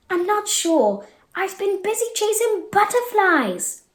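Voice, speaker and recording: At a fairly slow pace, someone talks in a put-on character voice that sounds squeaky. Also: woman, extremely high pitch for a woman. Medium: read story. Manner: carefree, easily distracted.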